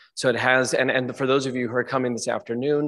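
Over a quiet background, a man speaks with fairly even intonation. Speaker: conference presenter. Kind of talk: conference talk.

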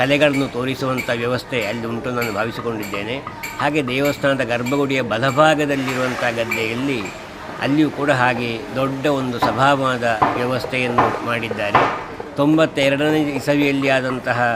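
Against noticeable background noise and audible room echo, a man speaks at medium pitch with fairly even intonation. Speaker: retired college principal, devotee. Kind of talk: news interview statement.

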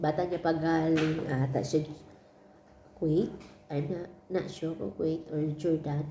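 Against noticeable background noise and audible room echo, a woman with a very deep, low pitch speaks at a fairly slow pace with fairly even intonation and long, frequent pauses. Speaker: domestic helper vlogger. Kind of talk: casual vlog chat.

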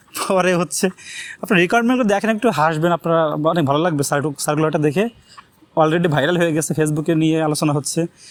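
A man with a high pitch, ordinary pitch variation and very even loudness, over noticeable background noise. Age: 20s. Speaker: YouTuber, job seeker. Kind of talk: casual vlog monologue.

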